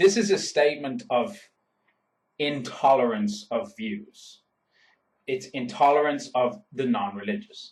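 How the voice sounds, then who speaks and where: A man with an Irish accent, fairly high pitch for a man, very wide pitch swings, a fairly slow pace and long, frequent pauses. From Ireland. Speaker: YouTuber. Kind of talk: vlog monologue.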